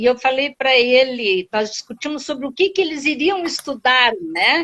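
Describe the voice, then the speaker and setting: A woman speaks with lively intonation. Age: 60s. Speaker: real estate rental company director, former teacher. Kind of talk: live stream interview. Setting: online live stream.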